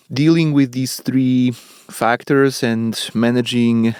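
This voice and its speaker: With a Polish accent, a man speaks at a medium pitch and keeps his intonation fairly even. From Poland. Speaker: professor. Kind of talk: interview. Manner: measured, with fillers and repetitions.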